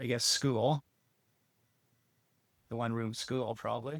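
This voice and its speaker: On a very clean recording with a silent background and a dry, close sound with no echo, a man speaks at a fairly slow pace in a monotone, flat intonation. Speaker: agricultural analyst and podcast host. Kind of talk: interview questions.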